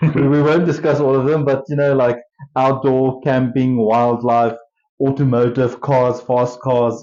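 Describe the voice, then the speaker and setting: At a fairly slow pace, a man speaks in a monotone, flat way at a medium pitch, keeping his loudness very even. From South Africa. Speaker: podcast co-host. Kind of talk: casual chat.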